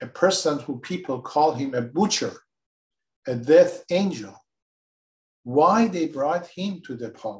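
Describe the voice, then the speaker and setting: A man's somewhat breathy voice, fairly high in pitch, with lively intonation. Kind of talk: moderated interview discussion. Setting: remote call.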